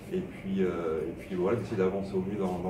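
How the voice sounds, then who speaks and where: The intonation stays fairly even at a moderate pace. Noticeable background noise and audible room echo come through. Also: man. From southern France, Montpellier. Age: 30s. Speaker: web designer. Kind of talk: interview. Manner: hesitant, many fillers.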